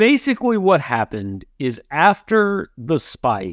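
A man with a fairly high pitch talks at a fairly slow pace, making very wide pitch swings. The sound is dry and close with no echo, in a very clean recording against a silent background. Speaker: sports podcast host. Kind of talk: casual sports talk.

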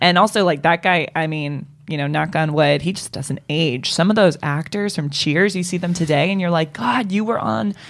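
Speaking with an American accent, a woman uses a fairly low pitch at a moderate pace. She has hardly any pauses, and there is noticeable background noise. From Boston. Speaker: podcast guest. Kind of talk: casual chat.

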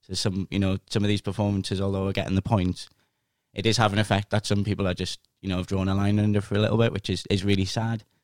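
A man talks at a very fast pace in a fairly low, monotone, flat voice. The recording is very clean with a silent background, and the sound is dry and close with no echo. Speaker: football fan guest. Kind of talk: casual chat.

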